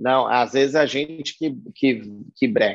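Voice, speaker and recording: Talking at a fairly slow pace, a man with an unremarkable speaking voice sits at a fairly high pitch for a man. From São Paulo state, Brazil. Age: 40s. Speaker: concert production manager. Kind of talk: interview.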